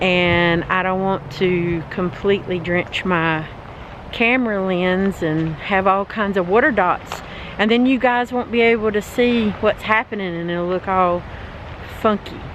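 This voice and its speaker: With a North Carolina accent, a woman speaks at a medium pitch and a fairly slow pace with ordinary pitch variation. Noticeable background noise is present. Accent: Southern US (North Carolina). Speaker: travel vlogger. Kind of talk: casual vlog walkthrough. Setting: outdoors. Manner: animated.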